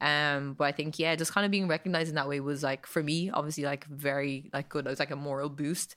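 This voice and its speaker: Bright and sharp in tone, this voice moves at a fairly quick pace with ordinary pitch variation in an Irish accent. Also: woman, very clean recording, silent background. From Ireland, Kildare. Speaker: activist and content creator. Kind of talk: casual interview.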